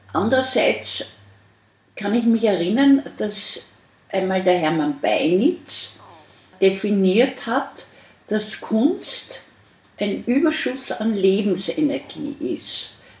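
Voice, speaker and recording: A woman with a fairly high voice speaks very slowly, her pitch swinging very widely, with long, frequent pauses over noticeable background noise. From Austria. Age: 70s. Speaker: artist. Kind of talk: interview. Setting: artist's studio.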